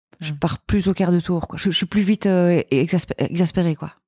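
The speaker has a Belgian accent and a fairly quick pace, with fairly even intonation. The recording is very clean with a silent background and a dry, close sound with no echo. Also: woman. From Belgium. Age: 40s. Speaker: entrepreneur. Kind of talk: casual chat.

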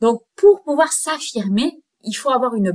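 With lively intonation, a woman speaks at a very slow pace in a fairly high pitch. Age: 30s. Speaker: podcast host and life coach. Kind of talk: solo self-help podcast talk.

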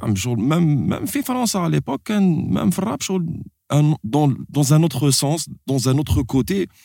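Speaking at a very slow pace, a man with a fairly high pitch and a dark, mellow tone makes very wide pitch swings, in a very clean recording with a silent background. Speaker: podcast host. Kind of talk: casual chat. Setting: studio. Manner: animated.

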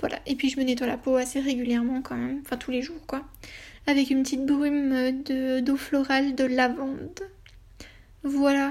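Her voice high-pitched and flat in a monotone, a woman speaks with long, frequent pauses. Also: moderate pace. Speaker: lifestyle blogger and podcaster. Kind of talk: casual solo monologue. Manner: hesitant, many filler sounds.

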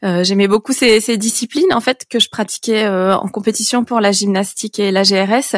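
A woman with a fairly high voice talks at a fairly slow pace with hardly any pauses. Her loudness is very even, her pitch varies in an ordinary way, and the sound is dry and close with no echo. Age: 30s. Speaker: patient advocate. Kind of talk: interview. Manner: halting.

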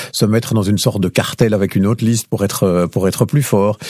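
In a very clean recording with a silent background and a dry, close sound with no echo, a man with a fairly low pitch speaks at a moderate pace in a dark, mellow tone. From Belgium, Liège province (Lierneux). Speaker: radio journalist. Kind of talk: interview conversation. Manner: clear, didactic.

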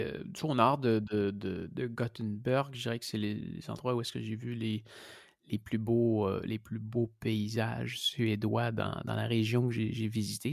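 A man with a medium pitch speaks very slowly, his intonation fairly even. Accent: Quebec. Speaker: cycling traveller. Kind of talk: interview. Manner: halting.

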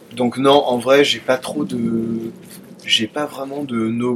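With music in the background, a man talks at a very slow pace. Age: 20s. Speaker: dating app user sharing experiences. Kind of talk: casual chat.

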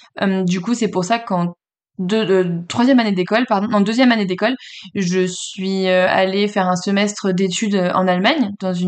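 Speaking with fairly even intonation, a woman has an unremarkable speaking voice at a medium pitch. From France, Le Mans. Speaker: real estate agency founder. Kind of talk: interview.

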